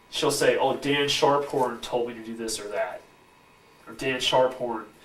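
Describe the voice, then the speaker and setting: With ordinary pitch variation and a moderate pace, a man speaks amid noticeable background noise and audible room echo. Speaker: researcher making misconduct allegations. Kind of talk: heated discussion. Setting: university police office. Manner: hesitant, filler-heavy.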